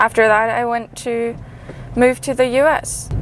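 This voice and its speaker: Her pitch fairly high, a woman speaks at a very slow pace. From Germany. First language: German. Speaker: PhD student, vlogger. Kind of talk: casual vlog chat.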